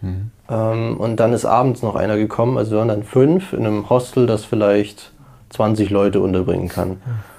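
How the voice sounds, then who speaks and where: A man with a fairly low pitch and fairly even intonation keeps a moderate speed. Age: 20s. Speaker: university student, former work-and-travel backpacker. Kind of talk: interview, casual personal account. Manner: hesitant, many fillers.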